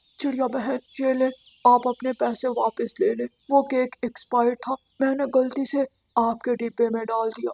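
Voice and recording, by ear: A cartoonish character voice, fairly high in pitch, speaks at a moderate pace.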